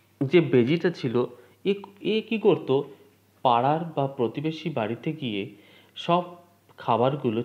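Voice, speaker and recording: A man with a normal speaking voice and lively intonation. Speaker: English teacher. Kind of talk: lecture.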